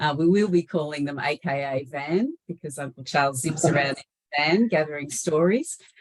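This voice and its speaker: With an Australian accent, a woman speaks at a moderate pace in a very deep, low pitch, with ordinary pitch variation and a dry, close sound with no echo. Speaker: webinar host, organisation CEO. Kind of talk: webinar presentation. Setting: online webinar.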